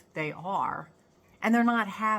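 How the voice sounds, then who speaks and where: A woman's voice, fairly high in pitch. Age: 60s. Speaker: spiritual self-help vlogger. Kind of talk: casual vlog monologue. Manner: halting.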